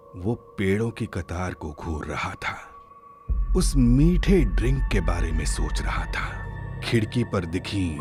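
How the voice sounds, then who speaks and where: Music plays behind a man whose very deep, low voice moves through very wide pitch swings. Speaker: narrator. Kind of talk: horror story narration.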